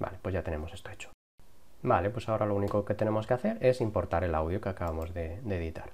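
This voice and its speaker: A man with a fairly low pitch sounds somewhat breathy over light background noise. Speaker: YouTube tutorial creator. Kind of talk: tutorial. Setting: home recording with lavalier mic. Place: home room.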